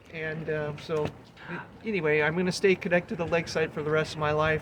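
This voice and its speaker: The words come at a very fast pace in a monotone, flat intonation. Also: man, fairly high pitch for a man. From Lakeside, California. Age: 60s. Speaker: local historian. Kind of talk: interview answer.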